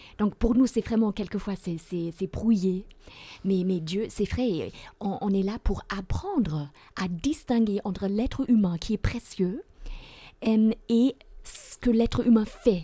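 A woman speaks very slowly at medium pitch, her dark, mellow tone somewhat breathy, with ordinary pitch variation. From Germany. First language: German (speaking French). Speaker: theology professor. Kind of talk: Bible study discussion. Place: studio. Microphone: studio mic.

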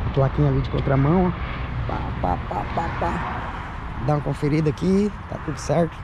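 Noticeable background noise sits under a dry sound with no echo. The speaker talks at a moderate pace with long, frequent pauses. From Brazil. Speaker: travel vlogger. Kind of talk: vlog walkthrough. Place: street. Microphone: phone near.

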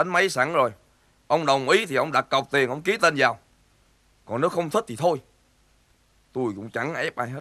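Against a quiet background, a man speaks at a moderate pace with lively intonation and big swings in loudness. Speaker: actor in comedy film. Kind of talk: scripted drama dialogue. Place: garden.

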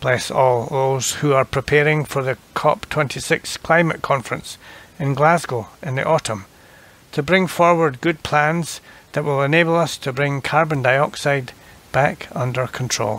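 This man has a plain, everyday voice. He sits fairly high in pitch, and his pitch varies in an ordinary way. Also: fairly slow pace. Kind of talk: fervent prayer. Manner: solemn, earnest; measured, reverent.

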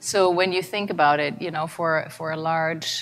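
Noticeable background noise behind a woman with a very deep, low pitch at a moderate pace. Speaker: conference presenter. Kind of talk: conference talk. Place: hall.

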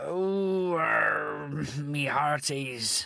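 Over light background noise, a man performs a put-on character voice. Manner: loud, hearty, playful.

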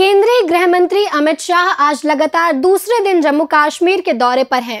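In a quiet background, a woman speaks at a fairly slow pace with an extremely high pitch. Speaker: news anchor. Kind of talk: news bulletin reading. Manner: formal, steady newsreader pace, neutral tone; brisk, headline-style delivery. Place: studio. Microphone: lapel.

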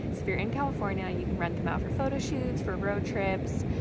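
A woman is speaking over loud background noise. The sound itself is dry, with no echo. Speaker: vlogger. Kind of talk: casual vlog chat. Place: beach. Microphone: phone near.

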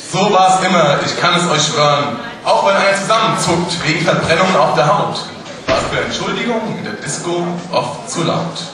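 A man's voice in strong room echo with noticeable background noise. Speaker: carnival speech performer. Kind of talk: carnival Büttenrede, rhymed comic speech to a live audience. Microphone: podium.

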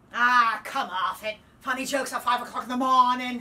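A woman's high, put-on character voice in a Cockney accent, fairly quick and monotone, flat in intonation. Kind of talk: audition self-tape.

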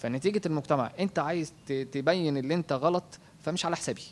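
Light background noise sits behind a man who speaks at a moderate pace with a fairly high pitch and ordinary pitch variation. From Egypt. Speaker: husband of the graduate, raised in an orphanage; interviewee. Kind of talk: interview testimony. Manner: halting, repeats words. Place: home room. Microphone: handheld.

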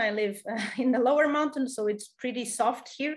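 At a moderate pace, a woman speaks in a high pitch with lively intonation against a quiet background. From Portugal. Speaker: presenter. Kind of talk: lecture. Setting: video call webinar. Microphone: webcam.

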